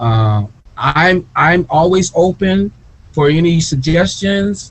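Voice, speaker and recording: A very slow, high-pitched man with an American accent and lively intonation. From US Midwest (Gary, Indiana). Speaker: author and researcher. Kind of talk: interview.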